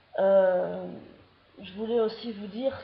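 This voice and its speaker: A woman with a slight Belgian accent and fairly even intonation. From Belgium. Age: 20s. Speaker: vlogger. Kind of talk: casual vlog monologue. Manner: halting, with hesitations.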